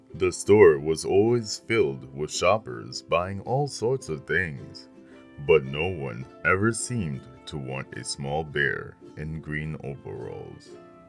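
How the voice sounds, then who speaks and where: A man at a very deep, low pitch and a very slow pace, with very wide pitch swings and big swings in loudness over music in the background. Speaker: voice actor. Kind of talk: children's book narration.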